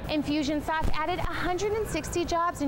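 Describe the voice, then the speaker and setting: At a moderate pace, a woman talks against noticeable background noise. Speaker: broadcast journalism student reporter. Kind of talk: TV news reporting.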